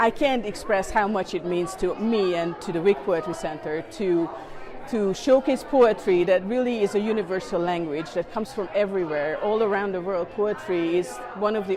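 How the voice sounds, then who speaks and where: Crowd noise runs in the background as the speaker goes at a moderate pace with a slight Hungarian accent. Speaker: poetry event organizer. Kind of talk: interview soundbite.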